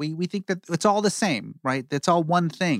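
In a very clean recording with a silent background and a dry, close sound with no echo, a man speaks at a moderate pace in a normal speaking voice with lively intonation. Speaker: podcast co-host. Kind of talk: casual chat.

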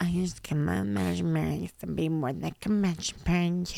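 This put-on character voice sits low-to-middle in pitch, moves at a fairly quick pace, and swings very widely in pitch.

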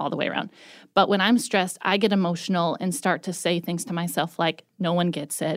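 A woman speaks at a fairly low pitch with ordinary pitch variation in an unremarkable speaking voice. The recording is very clean, with a silent background. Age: 30s. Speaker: podcast network manager. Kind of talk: casual chat.

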